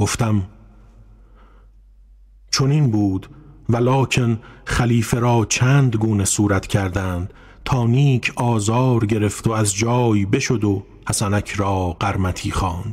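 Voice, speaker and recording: With long, frequent pauses and a very slow pace, a man speaks at a fairly low pitch, somewhat breathy, with very even loudness and fairly even intonation. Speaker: narrator of classical prose. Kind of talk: literary audiobook reading.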